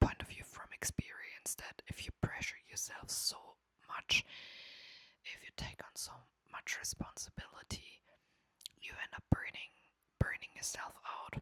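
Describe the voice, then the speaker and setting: Someone whispers at a fairly slow pace. The accent is non-native. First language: not English. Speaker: ASMR creator. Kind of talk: ASMR talk. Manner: soft-spoken.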